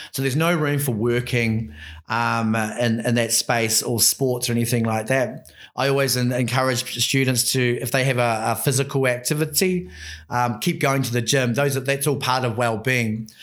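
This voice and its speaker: This man talks with a New Zealand accent at a medium pitch, his pitch varying in an ordinary way. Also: moderate pace. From New Zealand, Christchurch. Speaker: Māori education program leader. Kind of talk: casual interview. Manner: halting, many fillers.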